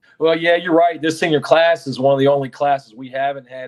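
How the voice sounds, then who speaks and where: Keeping his intonation fairly even, a man speaks at a fairly quick pace. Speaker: high school basketball head coach. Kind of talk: interview. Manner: loud.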